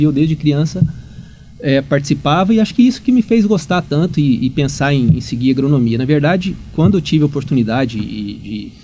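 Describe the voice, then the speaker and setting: Lively intonation marks this man's fairly high-pitched voice as he talks at a fairly quick pace. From Minas Gerais, Brazil (Uberaba). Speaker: agronomy professor. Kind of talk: podcast interview. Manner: halting, many repetitions.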